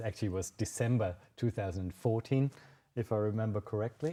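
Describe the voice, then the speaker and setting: A fairly low-pitched man with a German accent, at a moderate pace with ordinary pitch variation. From Germany, Munich, Bavaria. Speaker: wine sales manager. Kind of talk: virtual tasting presentation. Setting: live video stream. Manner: halting, many fillers.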